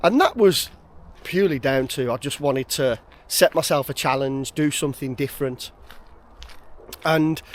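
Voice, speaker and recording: With a West Midlands accent, a man speaks at a fairly high pitch and moderate pace, using lively intonation and long, frequent pauses. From West Midlands, England. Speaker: outdoors vlogger. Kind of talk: casual vlog monologue. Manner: hesitant, filler words.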